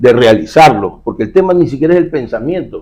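A man's dark, mellow tone with lively intonation. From Ecuador, Guayaquil. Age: 60s. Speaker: security expert and former public official. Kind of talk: casual interview.

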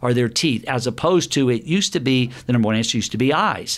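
In a Southern US accent, a man with a medium-pitched voice talks at a very fast pace. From US South, Alabama. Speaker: dentist. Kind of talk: interview. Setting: dental office.

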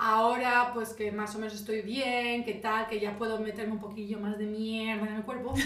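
A woman's fairly high, monotone, flat voice at a moderate pace with hardly any pauses, amid audible room echo and noticeable background noise. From Spain. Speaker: podcast co-host. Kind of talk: casual chat. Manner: loud.

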